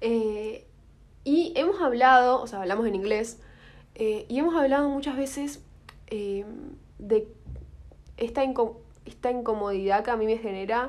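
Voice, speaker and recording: Speaking in an Argentine accent with ordinary pitch variation, a woman leaves long, frequent pauses. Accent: Rioplatense Argentine Spanish. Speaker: podcast co-host. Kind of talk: casual chat. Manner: fast.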